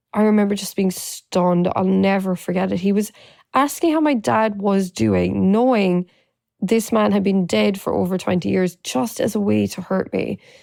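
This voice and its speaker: Moderate-paced speech from a woman, the recording very clean and the background silent. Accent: Irish. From Ireland. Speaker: domestic abuse survivor and advocate. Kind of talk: personal testimony.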